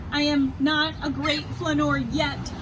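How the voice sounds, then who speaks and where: A woman speaks at a fairly slow pace in a put-on character voice over loud background noise. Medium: read story.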